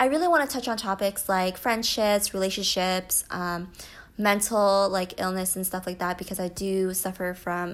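A normal speaking voice from a woman with an American accent, medium-pitched and fairly quick, with fairly even intonation, in a very clean recording with a silent background. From US. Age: 20s. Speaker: podcaster and YouTuber. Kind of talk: casual solo podcast monologue. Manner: casual, many fillers.

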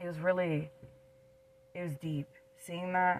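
The speaker has an American accent and fairly even intonation. Noticeable background noise is present. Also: woman. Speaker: podcast co-host. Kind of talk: casual chat.

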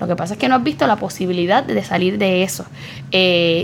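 A woman with a Puerto Rican accent at a medium pitch and a fairly quick pace, over noticeable background noise. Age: 30s. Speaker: nutritionist and psychologist. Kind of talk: interview.

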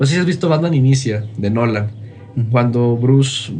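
A man in a normal speaking voice, at a fairly quick pace with lively intonation. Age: 20s. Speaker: motivational content creator. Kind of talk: casual interview.

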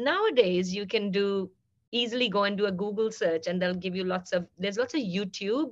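A woman talks at a fairly quick pace in a normal speaking voice with ordinary pitch variation. The background is quiet. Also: medium pitch for a woman. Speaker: university researcher. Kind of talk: interview.

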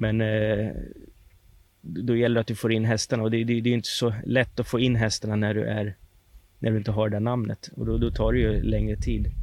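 A man talks at a fairly quick pace in a plain, everyday voice of fairly low pitch. His intonation stays fairly even and his loudness very even. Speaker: harness racing trainer. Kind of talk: interview.

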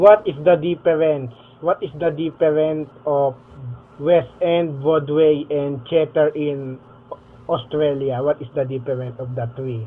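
Intonation stays fairly even as an ordinary speaking voice proceeds at a fairly slow pace. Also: man, fairly high pitch for a man. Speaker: podcast host.

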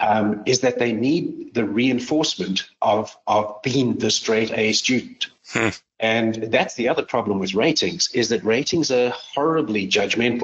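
At a fairly slow pace, a man talks in a normal speaking voice of medium pitch, with ordinary pitch variation and very even loudness. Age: 50s. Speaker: company founder and management consultant. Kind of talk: interview.

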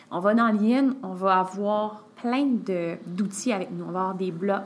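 In a plain, everyday voice, a woman at medium pitch talks at a fairly slow pace with ordinary pitch variation. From Quebec, Sherbrooke area. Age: 20s. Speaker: yoga teacher. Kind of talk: casual chat.

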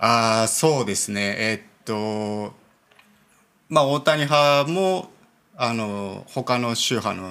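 Bright and sharp in tone, a man speaks at a very slow pace with medium pitch and lively intonation. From Niigata, Japan (Myoko). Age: 30s. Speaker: Buddhist temple priest. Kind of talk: casual interview conversation.

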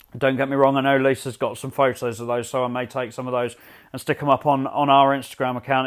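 Speaking very fast with a London accent, a man keeps his medium-pitched voice monotone and flat. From England, north London. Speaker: podcast host. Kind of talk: solo travel podcast monologue. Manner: hesitant, many repetitions and fillers.

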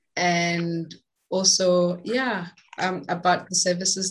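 A woman speaks with a Botswana accent, her voice somewhat breathy. Her intonation is flat and monotone. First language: Setswana. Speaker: podcast host and womb healer. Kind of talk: scripted outro; interview conversation.

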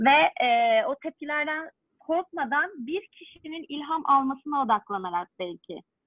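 A woman's high-pitched voice at a fairly slow pace, with very wide pitch swings, big swings in loudness and hardly any pauses. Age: 30s. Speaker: dance instructor. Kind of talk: interview.

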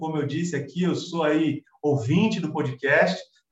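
At a moderate pace, a man talks in an unremarkable speaking voice pitched fairly high. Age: 40s. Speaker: civil engineer. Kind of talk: casual interview.

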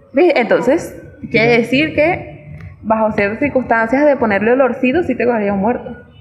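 In a Caracas Venezuelan accent, the speaker uses lively intonation at a moderate pace over noticeable background noise. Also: woman, high pitch for a woman, hardly any pauses. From Venezuela, Caracas. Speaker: podcast co-host. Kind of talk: casual chat.

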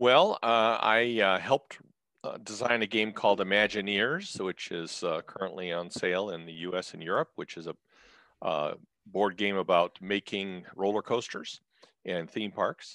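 In an American accent, a man speaks with a bright, sharp tone and ordinary pitch variation, the sound dry and close with no echo over a quiet background. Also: fairly low pitch for a man, moderate pace. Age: 60s. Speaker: retired physician and board game designer. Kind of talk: casual chat.

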